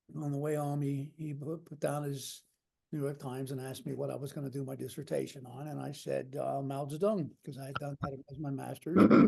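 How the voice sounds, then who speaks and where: A man talks at a fairly quick pace in a fairly high pitch, his tone dark and mellow. His voice is somewhat breathy, with fairly even intonation. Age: 70s. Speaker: author and former army intelligence officer. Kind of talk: panel discussion. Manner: halting.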